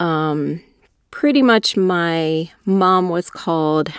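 In a very clean recording with a silent background and a dry, close sound with no echo, a woman with a normal speaking voice speaks at a fairly low pitch with ordinary pitch variation. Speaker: business owner and belly dancer. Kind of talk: interview.

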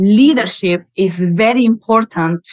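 In a Spanish accent, a woman speaks at a very slow pace and a medium pitch. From Spain, Malaga. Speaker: startup founder and CEO. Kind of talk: interview.

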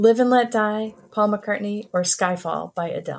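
At a fairly slow pace, a woman speaks in a normal speaking voice at medium pitch with ordinary pitch variation. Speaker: recurring segment presenter. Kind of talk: casual chat.

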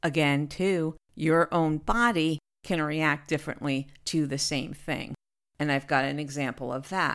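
Speaking slowly-ish with an American accent, a woman with a very deep, low pitch shows ordinary pitch variation on a very clean, dry, close recording with no echo and a silent background. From New Jersey. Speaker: podcast host, voice actress. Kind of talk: casual monologue.

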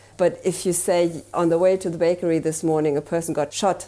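Her voice is fairly low for a woman and has a dark, mellow tone. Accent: German. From Germany. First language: German. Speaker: marketing consultant. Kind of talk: interview.

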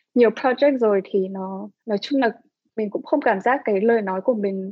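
Medium-pitched and moderately paced, a normal speaking voice from a woman. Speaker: visual artist and creative director. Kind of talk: interview.

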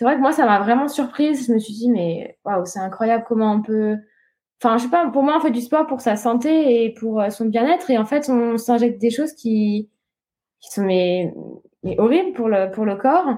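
A woman's fairly high voice with a dark, mellow tone and lively intonation, at a moderate pace, on a very clean recording with a silent background. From Réunion. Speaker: professional triathlete. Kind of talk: interview.

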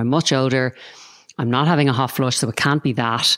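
With an Irish accent, a woman speaks at a fairly quick pace in a very deep, low voice with ordinary pitch variation. The recording is very clean, with a silent background and a dry, close sound with no echo. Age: 40s. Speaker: podcast host and Pilates teacher. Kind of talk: interview conversation.

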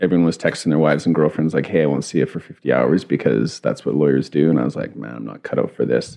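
A man's very deep, low voice with vocal fry and a Canadian Prairies accent, very fast with hardly any pauses and ordinary pitch variation. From Saskatchewan, Canada. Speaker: winemaker. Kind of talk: casual chat.

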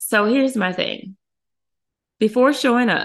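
Over a quiet background, a woman speaks in an animated tone at a moderate pace. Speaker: podcast host and hairstylist. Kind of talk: storytelling monologue with a fiery, indignant rant. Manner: indignant, sharp and pointed, sarcastic; animated, conversational, emphatic.

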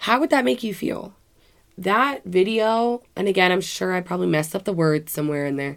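A woman at a medium pitch with an American accent, lively intonation and a fairly quick pace. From Washington. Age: 20s. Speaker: podcast host and life coach. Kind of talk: casual solo monologue.

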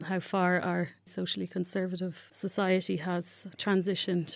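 A woman speaks at a medium pitch with a Dublin accent. The recording is very clean, with a silent background. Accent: Irish (Dublin). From Ireland, Dublin. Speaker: human rights researcher. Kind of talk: interview. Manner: halting, many fillers and repeats.

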